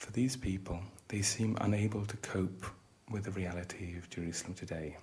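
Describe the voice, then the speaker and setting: A calm-toned man with a British accent and a fairly low pitch. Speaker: psychiatrist lecturer training tour guides (role-play). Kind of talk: educational roleplay lecture. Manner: calm, soft-spoken, conversational ASMR.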